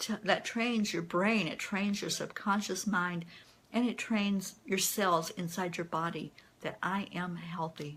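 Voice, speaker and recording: The recording is very clean, with a silent background. A woman talks at a fairly slow pace, somewhat breathy, with ordinary pitch variation. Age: 60s. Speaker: kidney transplant recipient. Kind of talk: live stream Q&A. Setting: Facebook Live video.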